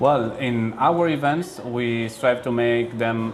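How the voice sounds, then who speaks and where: Clear background noise accompanies the speaker. He is a man, talking rather slowly. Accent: Spanish. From Spain. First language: Spanish. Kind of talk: interview. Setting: board meeting event. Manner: halting, many fillers and repetitions.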